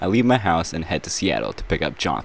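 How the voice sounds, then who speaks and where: At a moderate pace, a man talks in a dry sound with no echo, with light background noise. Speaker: vlogger narrating a road trip. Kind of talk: casual vlog narration.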